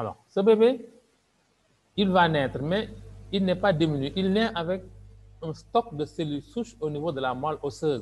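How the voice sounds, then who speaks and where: A man's high-pitched voice with lively intonation and long, frequent pauses. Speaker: doctor and business presenter. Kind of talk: sales pitch.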